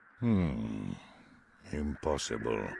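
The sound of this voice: A man's put-on character voice, extremely low in pitch with big pitch swings, vocal fry, a slightly mellow tone and a slightly husky edge, at a very slow pace.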